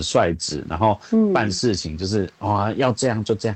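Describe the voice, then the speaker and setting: A man's voice with lively intonation. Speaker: visually impaired voice actor. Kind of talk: casual chat. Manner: blunt.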